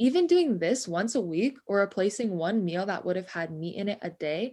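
A woman with an American accent talks at a moderate pace in an unremarkable speaking voice. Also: very clean recording, silent background. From Ventura County, California. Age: 20s. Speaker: student podcast co-host. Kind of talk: partly scripted podcast chat.

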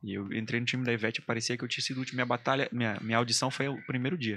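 Here is a man at a medium pitch. He speaks at a very fast pace. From Amazonas, Brazil (Maués area). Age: 30s. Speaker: singer, army doctor. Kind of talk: casual chat. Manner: animated.

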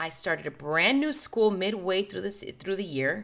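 This voice has a bright, sharp tone, an animated delivery and lively intonation. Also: woman. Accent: American. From Southern California, Burbank. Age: 40s. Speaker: podcast host. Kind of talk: personal storytelling monologue.

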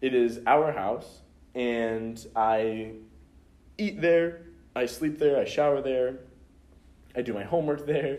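Audible room echo surrounds a man who talks at a very slow pace with long, frequent pauses, a medium pitch and ordinary pitch variation. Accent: American. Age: 20s. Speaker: college student. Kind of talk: interview.

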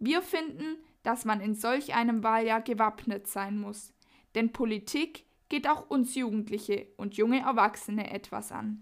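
A woman with a normal speaking voice talks at a fairly slow pace, her fairly high pitch varying in an ordinary way. The recording is very clean, with a silent background. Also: big swings in loudness. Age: young. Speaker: youth group member presenting the podcast. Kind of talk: scripted narration.

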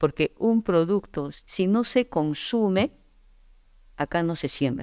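This woman speaks with an Andean Peruvian accent and ordinary pitch variation. The sound is dry and close with no echo, and the recording is very clean against a silent background. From Peru, Andes (Yungay, Ancash). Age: 60s. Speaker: agronomist. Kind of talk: interview. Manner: halting, with repetitions.

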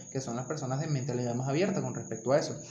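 Very fast male speech amid audible room echo and noticeable background noise. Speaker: podcast host. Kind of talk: casual chat.

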